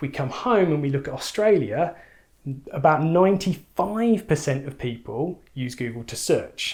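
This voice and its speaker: A man with an English accent speaks in a somewhat breathy voice with lively intonation. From England. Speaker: ecommerce trainer. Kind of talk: tutorial.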